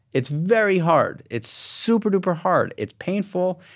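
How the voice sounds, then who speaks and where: In a very clean recording with a silent background, a man talks in an animated tone. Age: 40s. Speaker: podcast host. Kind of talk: interview conversation.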